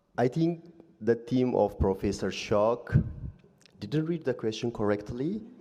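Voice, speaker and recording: A man's dark, mellow voice at medium pitch, with a non-native accent, lively intonation, a fairly slow pace and long, frequent pauses. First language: not English. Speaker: audience member. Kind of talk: debate rebuttal. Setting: live event with audience.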